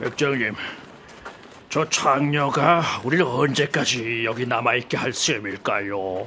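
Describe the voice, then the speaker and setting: A raspy, put-on character voice from a man, medium in pitch with ordinary variation, at a fairly slow pace with long, frequent pauses over clear background noise. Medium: audio drama.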